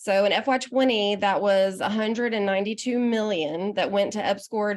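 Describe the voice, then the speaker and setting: This woman speaks at a moderate pace in a medium pitch, with a Southern US accent. Her intonation stays fairly even. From US South, Arkansas. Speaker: state economic development official, panelist. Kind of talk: panel presentation. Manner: informal, with filler words.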